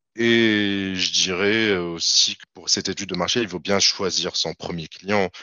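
In an ordinary speaking voice, a man talks at a fairly slow pace with hardly any pauses, fairly low pitch, fairly even intonation and big swings in loudness. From Tunisia, Tunis. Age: 30s. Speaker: freelance IT developer. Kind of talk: interview.

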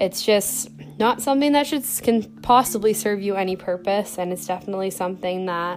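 At a fairly quick pace, a woman of medium pitch talks over noticeable background noise. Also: ordinary pitch variation. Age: 20s. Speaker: podcast host. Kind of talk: casual solo chat. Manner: casual with many fillers.

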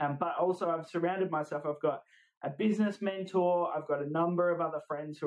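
With an Australian accent, a man talks at a fairly quick pace. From Australia, Adelaide. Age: 20s. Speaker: business owner, videographer. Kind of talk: interview.

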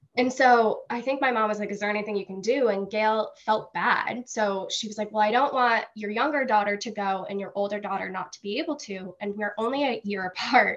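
A woman's ordinary speaking voice with an American accent, fairly high in pitch, at a fairly quick pace with fairly even intonation and hardly any pauses. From Massachusetts. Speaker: former camp counselor. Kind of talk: casual chat.

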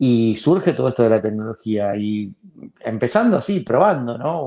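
A dark, mellow tone carries the voice. There is no sound behind it on this very clean recording. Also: man. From Argentina. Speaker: founder of a library for blind people. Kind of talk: interview.

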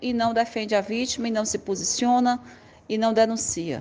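A woman talks at a moderate pace in a plain, everyday voice with a fairly high pitch. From Northeast Brazil, Pernambuco (Caruaru). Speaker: activist. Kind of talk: recorded voice message.

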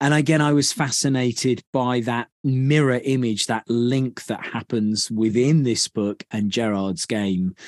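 Against a quiet background, a man with a medium pitch talks at a fairly slow pace with hardly any pauses and ordinary pitch variation, the sound dry and close with no echo. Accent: British. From Britain. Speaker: podcast host. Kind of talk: casual chat.

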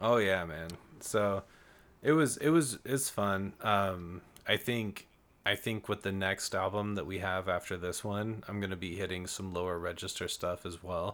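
A man talks in an ordinary speaking voice, fairly low in pitch, at a moderate pace. His pitch variation is ordinary, and the recording is very clean with a silent background. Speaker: musician, band guest. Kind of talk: casual chat.

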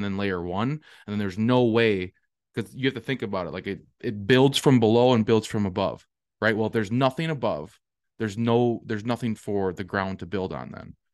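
A man talks at a fairly quick pace with a fairly low pitch. The background is quiet. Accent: Upper Midwest. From southwest Wisconsin. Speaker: regenerative farmer and realtor, co-host. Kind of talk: casual conversational podcast.

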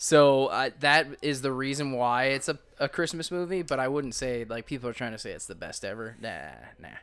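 A man with an unremarkable speaking voice talks at a moderate pace and medium pitch. The recording is very clean, with a silent background. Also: ordinary pitch variation. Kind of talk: casual chat. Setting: home living room recording. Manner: casual, joking.

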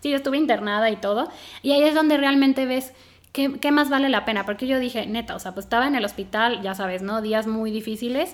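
With a Mexican accent, a high-pitched woman talks at a very fast pace. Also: ordinary pitch variation. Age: 30s. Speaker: environmental engineer turned soap entrepreneur. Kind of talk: casual chat. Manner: animated.

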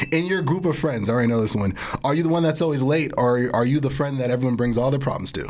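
Very fast and animated, a man with an American accent talks at a medium pitch with ordinary pitch variation and very even loudness, over noticeable background noise and audible room echo. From East Orange, New Jersey. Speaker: podcast host and MC. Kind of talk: casual interview.

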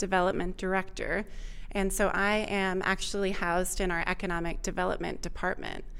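In an American accent, a woman talks at medium pitch with monotone, flat intonation and audible room echo. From Vermont, US. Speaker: state economic development director. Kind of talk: interview. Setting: recorded at a conference.

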